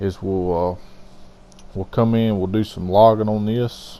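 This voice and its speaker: A man's dark, mellow voice in a flat monotone at a fairly slow pace. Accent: Southern US. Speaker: gaming video host. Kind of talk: gameplay commentary voiceover. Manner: loud.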